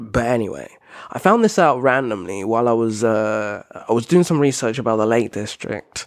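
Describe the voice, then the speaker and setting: The recording is very clean with a silent background, carrying a man with a British accent at a medium pitch. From Britain. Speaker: podcast host. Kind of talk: solo educational monologue. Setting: home living room.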